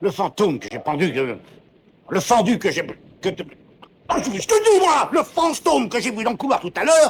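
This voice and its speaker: A man puts on a shrill character voice, high-pitched for a man, with very wide pitch swings. He talks at a fairly quick pace, and the sound is dry and close with no echo. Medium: short film. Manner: explosive, fast, shrill outbursts.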